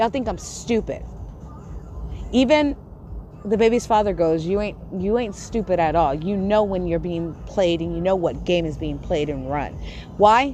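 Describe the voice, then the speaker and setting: A woman talks in an animated tone at a fairly slow pace, with audible room echo. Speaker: live streamer. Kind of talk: livestream rant.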